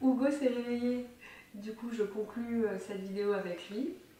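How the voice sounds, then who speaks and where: Audible room echo surrounds this woman's voice. Her pitch varies in an ordinary way. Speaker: family vlogger and documentary filmmaker. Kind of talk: casual vlog talk to camera. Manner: hesitant, many fillers.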